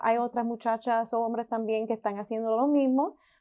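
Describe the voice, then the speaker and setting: Against a quiet background, a woman talks in a monotone, flat intonation, her pitch fairly high and her tone dark and mellow. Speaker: podcast host. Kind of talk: podcast interview host.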